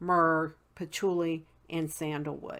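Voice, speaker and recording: A woman speaks with a Southern accent on a very clean recording with a silent background. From West Virginia, Appalachian mountains. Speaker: witchcraft video blogger. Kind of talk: casual tutorial. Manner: many fillers (um, uh).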